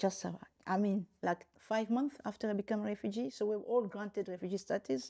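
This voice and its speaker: Pitched in the middle of her range, a woman's voice carries a dark, mellow tone and lively intonation. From DR Congo. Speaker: lawyer and university rector. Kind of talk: interview. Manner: halting, with repetitions.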